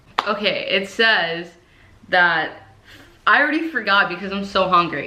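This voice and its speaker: A woman with an American accent speaks at a medium pitch with lively intonation, amid noticeable background noise and audible room echo. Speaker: YouTuber. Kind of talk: vlog. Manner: slower than usual.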